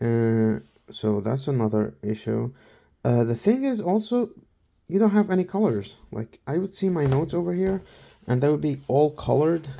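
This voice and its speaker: On a very clean recording with a silent background, a man with a dark, mellow tone speaks at a moderate pace with very wide pitch swings. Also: fairly high pitch for a man. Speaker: college student reviewing tablets. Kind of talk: casual product review. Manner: halting, many fillers and repeats.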